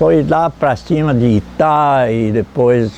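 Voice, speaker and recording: Lively intonation from a man at medium pitch, with noticeable background noise. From Santa Catarina, Brazil (Itapiranga). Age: 80s+. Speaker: former river raftsman, elderly local resident. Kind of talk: documentary interview testimony. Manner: halting, repeats words.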